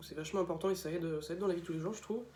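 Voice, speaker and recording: A man's high-pitched voice, dark and mellow in tone, with monotone, flat intonation. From France, Laval (Mayenne). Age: 20s. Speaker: student. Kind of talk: video testimony about his school. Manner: hesitant, many filler sounds.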